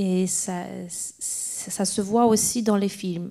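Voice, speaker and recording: In a very clean recording with a silent background, a dark, mellow voice speaks with fairly even intonation. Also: woman. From Poland. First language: Polish (speaking French). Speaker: film director. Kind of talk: festival Q&A panel. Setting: stage with audience. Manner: halting, many repetitions.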